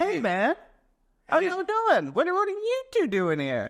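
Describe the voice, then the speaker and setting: Speaking slowly-ish at a fairly slow pace, the put-on character voice sits at an extremely high pitch. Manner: cheerful, friendly greeting.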